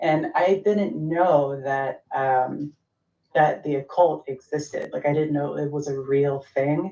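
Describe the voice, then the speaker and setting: Very slowly and in a very deep, low pitch, a woman with an American accent speaks with fairly even intonation. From US South, Georgia. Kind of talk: interview testimony.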